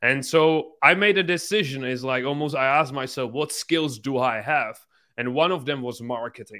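In a Czech accent, a man talks with a bright, sharp tone and ordinary pitch variation. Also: fairly high pitch for a man, moderate pace. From Czech Republic. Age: 20s. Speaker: entrepreneur. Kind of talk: casual interview chat. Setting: video call from hotel room.

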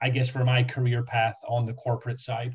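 This man's voice is somewhat breathy. It sits at a medium pitch. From Scotland. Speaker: franchise sales specialist. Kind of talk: interview.

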